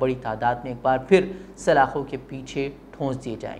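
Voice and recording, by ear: At a moderate speed, a man is speaking.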